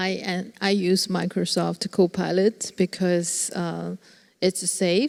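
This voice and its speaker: A woman with a non-native accent at a medium pitch, very slow, with a dry, close sound and no echo. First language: not English. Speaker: panelist. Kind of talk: panel discussion. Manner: halting.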